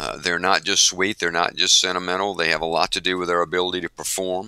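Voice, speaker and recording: Fairly quick speech from a man with a very deep, low pitch and a Southern US accent. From US South. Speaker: organization executive and author. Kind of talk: interview.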